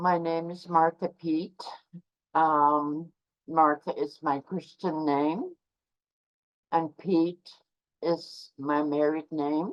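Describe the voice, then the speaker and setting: With a Canadian Arctic accent, a woman speaks at a very slow pace in a very deep, low pitch, her intonation monotone and flat, with long, frequent pauses. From Canadian central Arctic, Inuit. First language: Inuktitut. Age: 70s. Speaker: Inuit elder. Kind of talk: talk to online audience.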